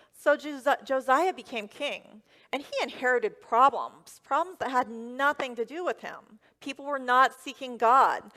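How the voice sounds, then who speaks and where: A woman's high, raised and projected voice with an American accent, bright and sharp in tone, fairly slow with fairly even intonation, in a dry, close sound with no echo. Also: big swings in loudness. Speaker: first-time preacher delivering a sermon. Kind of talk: church sermon.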